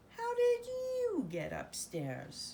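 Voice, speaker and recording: A woman's put-on character voice at an extremely high pitch, over clear background noise. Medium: read story.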